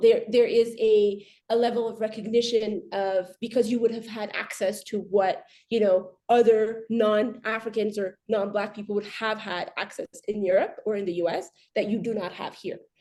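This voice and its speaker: With an American accent, a woman speaks at a fairly high pitch in a dark, mellow tone. Her pace is moderate and her intonation fairly even. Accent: very American. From Ethiopia. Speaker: arbitration lawyer. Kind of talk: panel discussion. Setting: video call webinar. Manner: halting, many repetitions.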